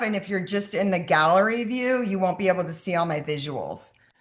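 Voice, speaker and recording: There is a quiet background behind a woman speaking at a medium pitch. Her pitch varies in an ordinary way. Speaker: health coach running a sourdough workshop. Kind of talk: online workshop. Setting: video call. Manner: fast.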